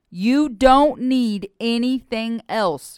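A woman's fairly high voice sounds over a silent background on a very clean recording. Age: 40s. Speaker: evangelist. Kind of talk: sermon.

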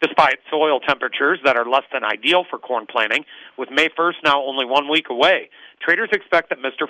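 Speaking in a normal speaking voice, a man keeps a fairly high pitch with ordinary pitch variation. His pace is fairly quick. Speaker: grain market commentator. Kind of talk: market report read aloud. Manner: brisk, formal, even delivery of figures.

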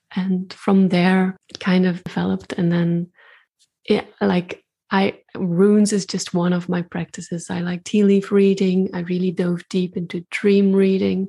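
Somewhat breathy and fairly slow, the speech runs in a monotone, flat intonation against a quiet background. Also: woman, medium pitch for a woman. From Belgium. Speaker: intuitive artist and spiritual practitioner. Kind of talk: casual interview conversation.

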